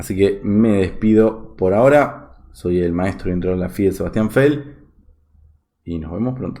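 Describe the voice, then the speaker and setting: Speaking at a fairly slow pace, a man with a fairly low pitch and a dark, mellow tone uses ordinary pitch variation. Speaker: chess teacher, video host. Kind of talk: tutorial.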